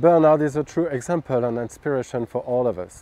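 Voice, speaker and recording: A man with a French accent speaks in a dark, mellow tone. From France. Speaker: golf coach. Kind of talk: scripted narration; interview. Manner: halting.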